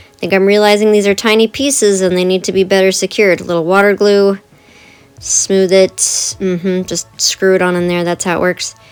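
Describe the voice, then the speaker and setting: Music plays in the background as a woman speaks at a fairly quick pace. Her pitch is medium and her intonation fairly even. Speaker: art channel creator. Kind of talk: craft tutorial voiceover. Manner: casual, chatty. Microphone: poor audio quality.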